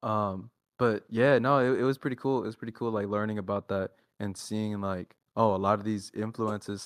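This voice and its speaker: A man with a Texan accent talks in a fairly low pitch, and the sound is dry and close with no echo. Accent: Texan American English. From Texas, Dallas area. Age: 20s. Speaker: underground rapper. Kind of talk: casual interview chat. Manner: halting, many fillers.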